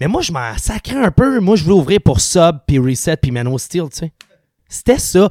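A man speaks at a moderate pace with a high pitch and very wide swings in pitch. His loudness rises and falls a great deal, and the sound is dry and close with no echo. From Quebec, Sainte-Julie. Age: 30s. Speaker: punk rock singer. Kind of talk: casual chat.

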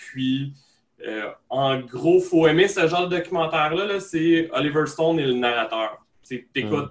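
There's a man with a normal speaking voice, a moderate pace and ordinary pitch variation. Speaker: podcast host. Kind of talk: casual chat.

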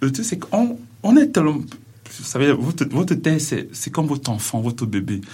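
Moderately paced, a man speaks in a fairly high, somewhat breathy voice. His tone is dark and mellow, and his pitch swings very widely. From Cameroon. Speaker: PhD student researcher. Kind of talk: radio interview. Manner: halting.

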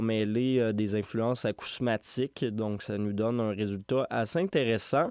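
Here a man speaks with a Quebec accent. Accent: Québécois French. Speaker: radio host. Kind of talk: radio music show presenting. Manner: casual with frequent filler hesitations.

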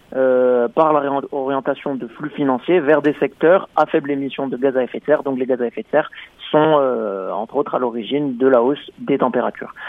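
The speaker is a man. His voice has a fairly high pitch. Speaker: radio correspondent. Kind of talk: radio report.

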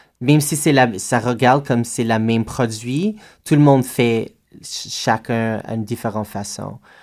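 In an English accent, a man speaks at a medium pitch and a fairly slow pace with fairly even intonation, recorded very cleanly against a silent background. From Alberta, western Canada. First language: English (speaking French). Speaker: drag performer. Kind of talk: casual interview. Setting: radio studio.

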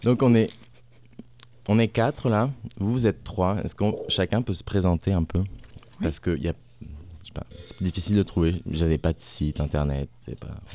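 A man with a fairly low pitch and a dark, mellow tone talks at a moderate pace with lively intonation. He takes long, frequent pauses. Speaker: radio host interviewing musicians. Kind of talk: radio interview. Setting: studio with live music.

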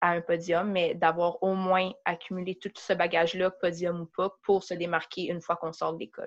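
At a moderate pace, a woman talks in a fairly low pitch with flat, monotone intonation. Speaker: university student. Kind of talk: interview.

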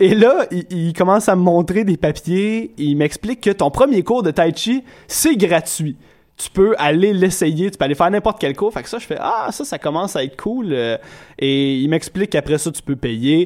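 Lively in intonation, a man with a high pitch speaks at a moderate pace. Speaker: podcast host. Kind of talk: casual chat.

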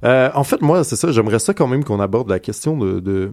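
A very clean recording of a man's voice against total silence. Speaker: radio comics columnist. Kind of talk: casual chat. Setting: studio.

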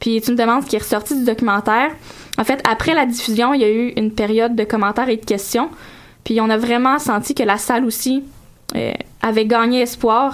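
A woman's fairly high pitch, fairly even intonation, and fairly quick pace. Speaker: radio columnist. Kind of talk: radio segment on community station.

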